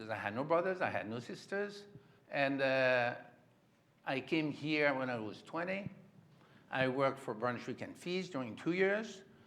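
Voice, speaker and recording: The speaker has a French accent and lively intonation, talking at a moderate pace with long, frequent pauses. Room echo is audible. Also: man, fairly high pitch for a man. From France. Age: 70s. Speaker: creative director of a textile house. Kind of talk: onstage interview.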